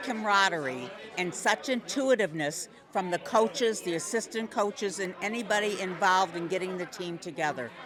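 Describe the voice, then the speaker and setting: Over crowd noise in the background, a woman sounds enthusiastic, her medium-pitched voice lively in intonation. She talks at a moderate pace. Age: 80s+. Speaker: senior Lions fan. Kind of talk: street interview.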